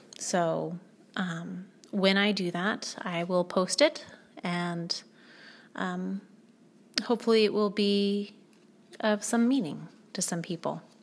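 A medium-pitched woman at a very slow pace, with long, frequent pauses. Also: ordinary pitch variation. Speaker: podcast host and aspiring life coach. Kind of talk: solo podcast monologue, personal reflection.

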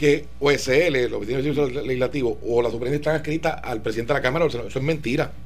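A man speaks at a moderate pace with vocal fry, and the room echo is audible. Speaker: political guest. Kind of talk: radio interview.

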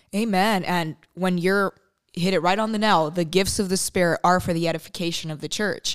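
In an ordinary speaking voice, a woman talks at a medium pitch and a fairly quick pace with fairly even intonation. Her recording is very clean, with a silent background. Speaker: co-host. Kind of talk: interview about faith, conversational.

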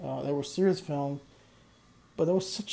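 A man's somewhat breathy voice sits at a fairly high pitch with fairly even intonation. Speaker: solo podcast host, music reviewer. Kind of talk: casual solo monologue. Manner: hesitant, filler-heavy.

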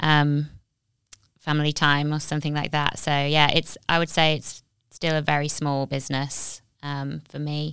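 Recorded very cleanly against a silent background, a woman with a very deep, low pitch speaks at a moderate pace in a monotone, flat intonation. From Nottingham, England. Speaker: graphic designer and business owner. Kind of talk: casual interview chat.

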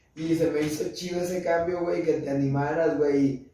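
A moderate pace in a monotone, flat intonation, amid audible room echo. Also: man. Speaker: podcast host. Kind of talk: casual chat.

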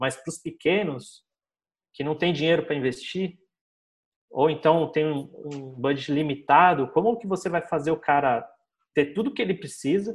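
A man talks in an unremarkable speaking voice. His pace is moderate and his pitch variation ordinary. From Brazil, São Paulo. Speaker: digital marketing agency owner. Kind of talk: casual interview chat.

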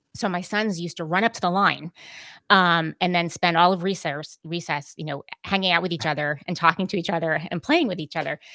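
A woman speaks fairly quickly in a fairly low voice with a bright, sharp tone and fairly even intonation, in a very clean recording with a silent background. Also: dry, close sound with no echo. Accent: American. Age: 40s. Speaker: podcast host and editor. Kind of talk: casual interview chat.

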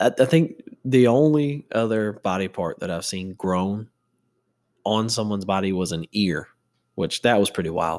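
With an ordinary speaking voice, a man talks at a fairly low pitch and a moderate pace, using lively intonation. The recording is very clean, with a silent background. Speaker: podcast host. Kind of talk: casual solo chat. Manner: casual, joking, profane.

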